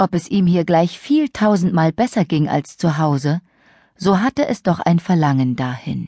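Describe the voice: Speaking at a fairly slow pace, a woman with a fairly low pitch, lively intonation and a slightly mellow tone is captured with a dry, close sound with no echo on a very clean recording with a silent background.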